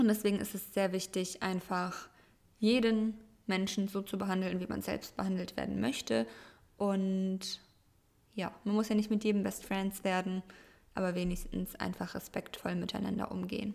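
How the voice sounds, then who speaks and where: A woman at medium pitch with fairly even intonation, a moderate pace and long, frequent pauses. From Germany. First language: Russian (speaking German). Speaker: podcast co-host. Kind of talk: casual chat.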